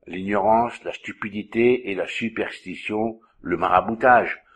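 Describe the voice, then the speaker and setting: Against a quiet background, a man with a fairly low pitch uses a normal speaking voice and fairly even intonation. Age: 60s. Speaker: magnetic healer and trainer. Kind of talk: monologue answering a viewer's questions.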